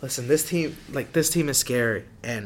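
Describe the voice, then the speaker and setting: A man speaks at a moderate pace. He has a plain, everyday voice. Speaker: sports podcast host. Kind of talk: casual chat about sports, school radio; heated argument about basketball.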